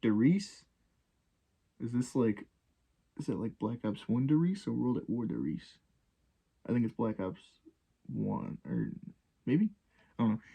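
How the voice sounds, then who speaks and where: Quiet speech moves at a fairly slow pace, broken by long, frequent pauses. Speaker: gaming YouTuber. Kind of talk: casual commentary. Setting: home recording at night.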